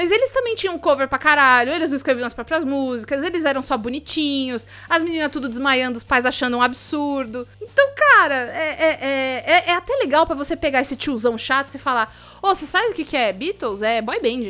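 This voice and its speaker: A woman projects a raised voice at high pitch, her bright, sharp tone animated as she talks at a fairly quick pace with hardly any pauses. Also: lively intonation. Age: 20s. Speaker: podcaster and voice performer. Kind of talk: casual chat. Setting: remote call.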